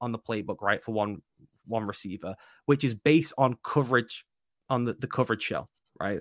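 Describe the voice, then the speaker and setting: A man speaks fairly quickly with an English accent and ordinary pitch variation. The sound is dry and close with no echo. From England. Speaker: football writer and analyst. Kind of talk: casual interview. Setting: video call.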